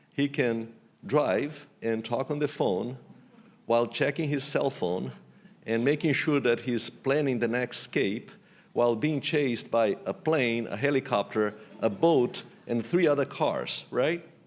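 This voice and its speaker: With a strong Portuguese accent, a man speaks at a fairly slow pace and a medium pitch with ordinary pitch variation. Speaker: economics professor. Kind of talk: keynote lecture.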